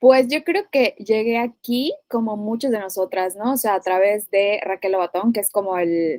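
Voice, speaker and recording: Spoken at a fairly slow pace with a Yucatecan accent, the voice has a dry, close sound with no echo. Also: woman, fairly high pitch for a woman, ordinary pitch variation. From Mérida, Yucatán, Mexico. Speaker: physician and nutritionist. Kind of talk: podcast interview.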